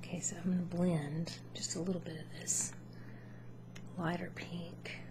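Against noticeable background noise, a soft-spoken woman talks at a moderate pace. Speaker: makeup demonstrator. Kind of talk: casual makeup tutorial chat. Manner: soft-spoken, hushed ASMR voice. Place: home room. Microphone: webcam.

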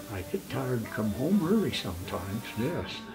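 Clear music plays in the background as a man with an American accent talks at a moderate pace. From eastern Idaho. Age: 80s+. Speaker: farmer and rancher. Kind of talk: interview answer. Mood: relaxed, wry humor. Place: home room.

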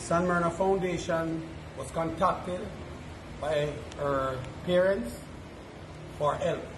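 The speech moves at a very slow pace with fairly even intonation and long, frequent pauses, amid noticeable background noise and audible room echo. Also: man, high pitch for a man. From Jamaica. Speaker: charity foundation representative. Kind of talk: news interview.

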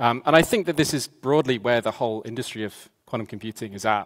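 The man talks at a fairly quick pace. His pitch varies in an ordinary way, and the background is quiet. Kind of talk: conference talk. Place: stage.

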